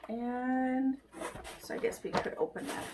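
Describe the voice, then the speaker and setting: A woman speaks at a high pitch in an animated tone. Her pace is fairly slow. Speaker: lifestyle vlogger. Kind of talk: product unboxing. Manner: chatty, animated.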